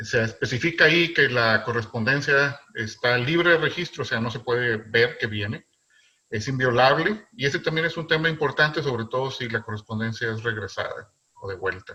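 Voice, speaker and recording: A man with a northern Mexican accent, medium pitch, moderate pace and ordinary pitch variation. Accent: northern Mexican, fairly marked. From northern Mexico. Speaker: philatelist presenter. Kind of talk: lecture. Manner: loud; halting, many fillers.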